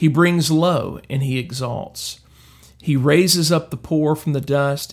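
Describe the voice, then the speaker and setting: Somewhat breathy, a man speaks at a very slow pace with ordinary pitch variation. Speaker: devotional host. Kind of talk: daily devotional with scripture reading and prayer. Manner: fervent, earnest, prayerful, reverent tone; hesitant, filler-heavy delivery.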